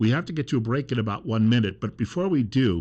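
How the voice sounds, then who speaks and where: With a quiet background, a man talks at a fairly quick pace in a normal speaking voice, medium in pitch with ordinary pitch variation. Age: 50s. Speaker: radio talk show host. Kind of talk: radio interview.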